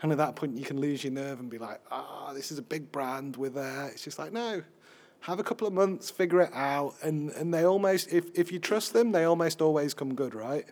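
In a Yorkshire accent, a man with a fairly high pitch talks at a fairly quick pace, with ordinary pitch variation and big swings in loudness. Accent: Sheffield Yorkshire English. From Sheffield, northern England. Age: 30s. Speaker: video journalism editor. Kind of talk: live podcast interview.

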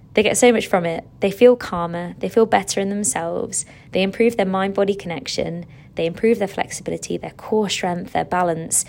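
A woman with an English accent speaks at a fairly quick pace. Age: 30s. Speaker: fitness instructor and podcast host. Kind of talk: casual monologue. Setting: hotel room. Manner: animated.

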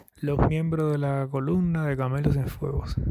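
Flat and monotone, a man speaks at a fairly high pitch. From Cuba, Yaguajay (Sancti Spíritus). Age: 30s. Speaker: hotel manager, local historian. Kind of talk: interview. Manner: halting.

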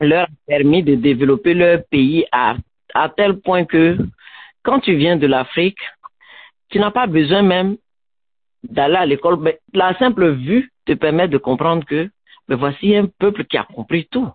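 Speaking fairly slowly with long, frequent pauses, a woman keeps her loudness very even while her intonation stays lively. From Ivory Coast. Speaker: education student, radio guest. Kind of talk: radio interview.

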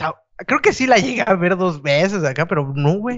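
Speaking at a moderate pace with a Mexican accent, a man sounds animated, his pitch swinging very widely. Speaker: podcast co-host. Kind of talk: casual chat.

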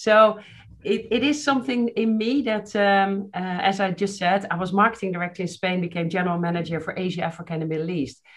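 Speaking with a plain, everyday voice, a woman of medium pitch goes at a fairly quick pace with ordinary pitch variation. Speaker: marketing executive. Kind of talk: casual interview.

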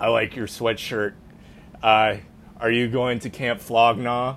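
A man's booming, put-on character voice, medium in pitch, with monotone, flat intonation and a fairly slow pace. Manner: friendly, hearty.

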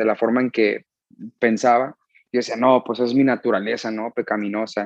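A man's medium-pitched voice, monotone with flat intonation, in a dry, close recording with no echo. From US, San Diego, California. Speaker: musician. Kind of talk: casual chat.

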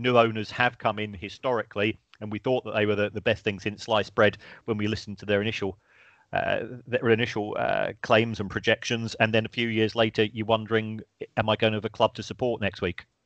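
A fairly low-pitched man with a London accent, monotone and flat, at a fairly quick pace, in a dry, close sound with no echo and a quiet background. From South London. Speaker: university lecturer in football finance. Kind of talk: casual chat. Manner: halting, repeats words.

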